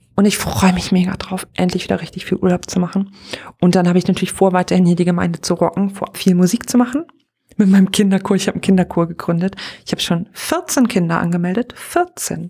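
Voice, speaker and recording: At a very fast pace, a woman speaks in an animated tone at a medium pitch. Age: 30s. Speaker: podcaster and pastor. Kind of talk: casual solo podcast monologue. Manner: animated, frequent laughter.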